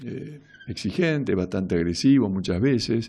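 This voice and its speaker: In an Argentine accent, a man speaks at a medium pitch with a dark, mellow tone and lively intonation against a quiet background. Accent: Rioplatense Argentine Spanish. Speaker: radio host. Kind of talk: casual radio monologue. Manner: halting.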